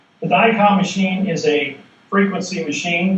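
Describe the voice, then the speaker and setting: Noticeable background noise is present. A man's voice carries audible room echo. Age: 60s. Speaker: seminar speaker. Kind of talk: seminar lecture.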